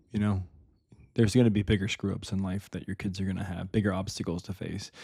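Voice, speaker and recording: The recording is very clean, with a silent background. A man speaks at a fairly low pitch with a dark, mellow tone. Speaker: father, podcast guest. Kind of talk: casual podcast chat. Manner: fast.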